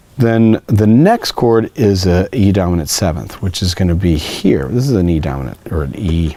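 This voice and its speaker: A man with a very deep, low voice talks at a moderate pace with lively intonation and hardly any pauses, over noticeable background noise. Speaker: guitar teacher. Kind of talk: tutorial.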